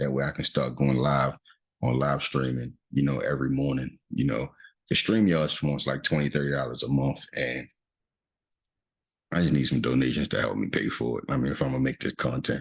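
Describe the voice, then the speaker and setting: A man's very deep, low voice, quiet and very even in loudness, with fairly even intonation at a fairly quick pace. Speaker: stock trading youtuber. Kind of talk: trade review tutorial. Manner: fast; speaking louder than usual.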